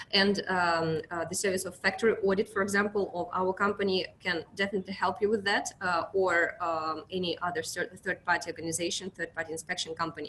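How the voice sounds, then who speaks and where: A woman with a Russian accent, medium pitch, and a fairly quick pace. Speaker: account manager at an inspection company. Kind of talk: webinar presentation. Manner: halting, many fillers.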